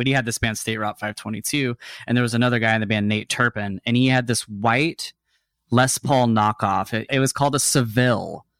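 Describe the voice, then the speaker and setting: In a plain, everyday voice with an American accent, a man speaks fairly quickly at a medium pitch with fairly even intonation, on a very clean recording with a silent background and a dry, close sound with no echo. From Texas (Dallas area), then Seattle from about age ten. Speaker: musician, guitarist. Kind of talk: casual interview chat.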